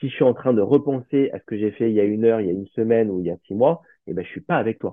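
An unremarkable speaking voice, this man talks at a medium pitch with ordinary pitch variation. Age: 40s. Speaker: meditation teacher and salaried employee. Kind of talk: casual interview.

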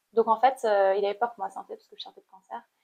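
Fairly quick speech from a woman, her intonation fairly even. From Cambodia. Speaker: painter and activist. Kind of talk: interview. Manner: halting.

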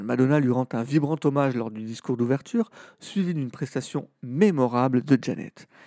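A fairly high-pitched man with a dark, mellow tone at a moderate pace, dry and close with no echo, on a very clean recording with a silent background. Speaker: podcast host. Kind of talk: scripted narration.

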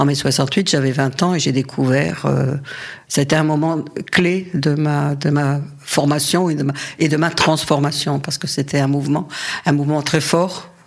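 Over noticeable background noise, a woman with a very deep, low pitch speaks at a fairly slow pace in a monotone, flat intonation. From Paris region, France. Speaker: feminist activist. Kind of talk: interview. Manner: halting.

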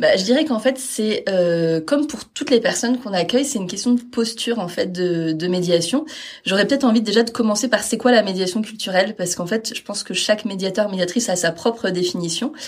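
Her voice is fairly high-pitched. Noticeable background noise runs behind the woman. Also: ordinary pitch variation, fairly quick pace. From Normandy, France (Caen). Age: 30s. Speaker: cultural mediator. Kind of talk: interview. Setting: at the venue.

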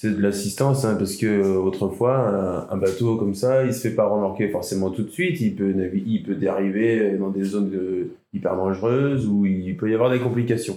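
The talking proceeds at a moderate pace. Its intonation is fairly even. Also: man, fairly low pitch for a man. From France, Île d'Oléron (Charente-Maritime). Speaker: volunteer sea rescuer and diver. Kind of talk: interview. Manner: halting.

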